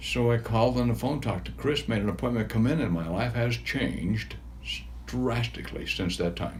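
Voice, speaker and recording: A man speaks at a fairly quick pace. There is audible room echo. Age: 70s. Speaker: patient. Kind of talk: testimonial interview. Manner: halting.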